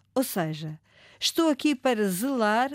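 Lively intonation marks a woman's unremarkable speaking voice at a fairly slow pace. The recording is very clean, with a silent background and a dry, close sound with no echo. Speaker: ombudsman. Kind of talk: scripted narration.

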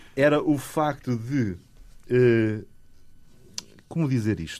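A man at medium pitch, talking at a very slow pace with ordinary pitch variation. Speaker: composer and music teacher. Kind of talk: interview. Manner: hesitant, many fillers.

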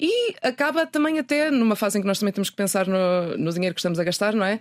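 Words tumble out at a very fast pace. Pitch rises and falls in very wide swings. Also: woman. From northern Portugal (Minho, Ponte da Barca). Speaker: journalist and sustainability website founder. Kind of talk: interview. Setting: radio studio.

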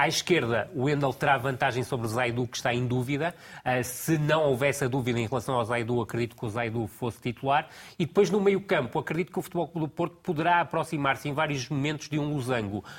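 The speech comes at a very fast pace with ordinary pitch variation. The voice is somewhat breathy. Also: man, fairly high pitch for a man. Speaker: football tactical analyst. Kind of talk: TV football analysis panel.

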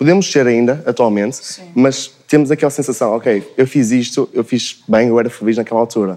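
Speaking at a moderate pace with hardly any pauses, a man uses a medium pitch, ordinary pitch variation and a dark, mellow tone. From Braga, northern Portugal. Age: young (19). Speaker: university student. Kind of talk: casual panel discussion.

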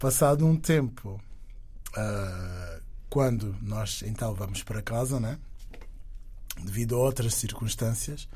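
A man's medium-pitched, somewhat breathy voice with a dark, mellow tone and ordinary pitch variation, at a very slow pace with long, frequent pauses, in audible room echo. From Angola. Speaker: singer and dancer. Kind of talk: interview.

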